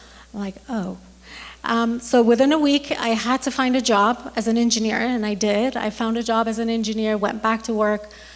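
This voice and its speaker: Over noticeable background noise, a woman with a fairly high pitch speaks at a moderate pace in a monotone, flat intonation. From Iran. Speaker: dentist. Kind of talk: talk to an audience. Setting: stage with audience. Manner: halting, with many ums.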